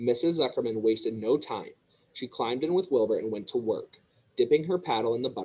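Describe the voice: What you hear is plain reading aloud.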